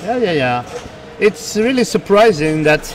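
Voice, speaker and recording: Music plays in the background as a man with a French accent speaks with ordinary pitch variation. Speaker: pinball commentator. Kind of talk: live commentary. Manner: halting.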